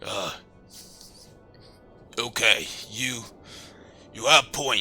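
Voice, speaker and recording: A man's raspy, put-on character voice at a medium pitch and a very slow pace, with faint music in the background. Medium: actual play. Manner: broken simple English.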